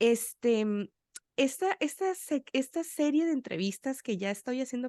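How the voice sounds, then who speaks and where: A woman talks at a moderate pace, her pitch swinging very widely. The sound is dry and close with no echo, over a quiet background. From Sonora, Mexico. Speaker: podcast host. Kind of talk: interview chat.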